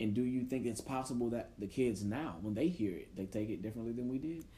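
The voice is somewhat breathy, with a dark, mellow tone and a fairly quick pace. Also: man. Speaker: podcast host; teacher. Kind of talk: casual chat.

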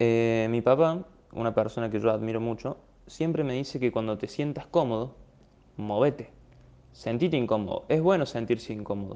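A man with a dark, mellow tone talks at medium pitch and a moderate pace with ordinary pitch variation. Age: 20s. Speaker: podcaster. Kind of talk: personal monologue. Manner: animated.

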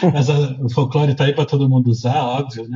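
A somewhat breathy man at a fairly high pitch. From Rio de Janeiro, Brazil. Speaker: comic artist and illustrator. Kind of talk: casual chat.

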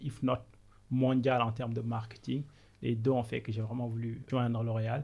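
Somewhat breathy, a man speaks at a medium pitch and a moderate pace. His intonation is monotone and flat. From Senegal. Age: 30s. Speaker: business consultant. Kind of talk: interview.

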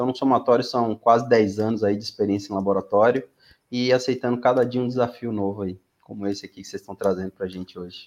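A man with a medium pitch talks at a very fast pace. His intonation is fairly even. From Brazilian Northeast, Aracaju (Sergipe). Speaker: pharmacist, cleaning validation specialist. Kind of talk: interview.

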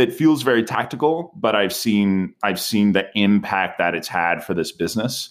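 A man's fairly low voice with very wide pitch swings, on a very clean recording against a silent background. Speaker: startup co-founder and sales executive. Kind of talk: casual interview. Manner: clear diction.

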